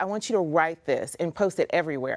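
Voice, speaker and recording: Fairly quick and fairly low in pitch, a woman speaks in a plain, everyday voice with ordinary pitch variation. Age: 40s. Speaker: motivational speaker and author. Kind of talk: talk show interview.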